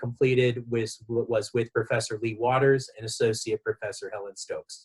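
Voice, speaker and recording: Somewhat breathy, a man speaks at a moderate pace and medium pitch in a Southern California accent. His intonation is fairly even, and the sound is dry and close with no echo. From Southern California, Los Angeles. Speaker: education director and researcher. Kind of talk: interview.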